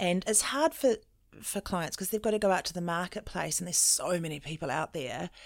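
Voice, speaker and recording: A woman with a New Zealand accent, fairly low in pitch, quick-paced and lively in intonation, on a very clean recording with a silent background. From New Zealand, Auckland. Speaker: mental well-being consultant. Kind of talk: interview.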